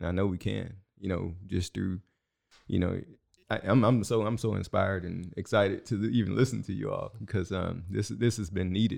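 A man in an American accent speaks at a moderate pace with vocal fry. His pitch is fairly low, with ordinary variation. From Houston, Texas. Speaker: school board candidate. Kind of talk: casual interview.

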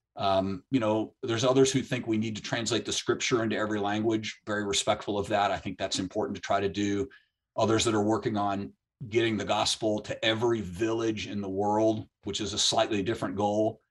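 This man has a plain, everyday voice with a fairly low pitch. He moves at a fairly quick pace with fairly even intonation. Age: 60s. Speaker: author and missions ministry leader. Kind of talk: interview on biblical prophecy.

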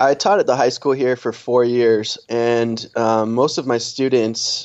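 A man with an American accent and a normal speaking voice, medium in pitch, at a fairly slow pace. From US Northeast, Connecticut. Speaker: business owner. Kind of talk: interview.

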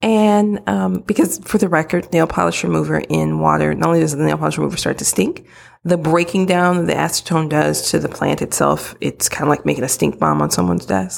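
A woman's very deep, low voice with an American accent, fairly quick and full of very wide pitch swings, in a very clean recording with a silent background. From US Midwest. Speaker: guest co-host giving advice. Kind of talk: casual advice chat.

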